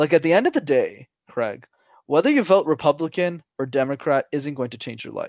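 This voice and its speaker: With lively intonation and a fairly high pitch, a man speaks at a fairly quick pace in a normal speaking voice, the sound dry and close with no echo over a quiet background. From Montreal, Canada. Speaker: public speaking coach. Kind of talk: casual chat.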